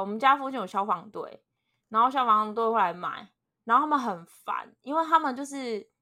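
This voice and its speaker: In a very clean recording with a silent background, a woman talks at a moderate pace. Her pitch is high and her intonation lively. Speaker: podcast co-host. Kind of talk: casual chat.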